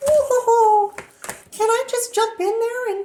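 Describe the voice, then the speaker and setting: This is a cartoonish character voice, squeaky and extremely high in pitch. It moves at a fairly slow pace. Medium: puppet show. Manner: playful, punning.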